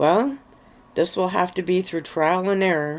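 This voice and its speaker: The put-on character voice has a middle pitch and a moderate pace. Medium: read story. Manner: calm, gentle.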